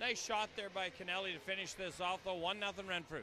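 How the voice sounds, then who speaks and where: A man's raised, projected voice with a high pitch, dry sound with no echo, and noticeable background noise. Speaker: hockey colour commentator. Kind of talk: live hockey colour commentary, analysing plays between goals. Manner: conversational, filler-heavy, with hesitations. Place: stadium. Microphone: headset.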